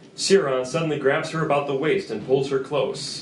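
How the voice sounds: A man at medium pitch, with ordinary pitch variation, a moderate pace and audible room echo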